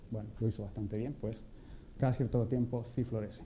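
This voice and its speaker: With a Chilean accent, a man speaks in a medium pitch amid audible room echo. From Chile, Atacama region (Vallenar). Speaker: physicist. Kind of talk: public lecture.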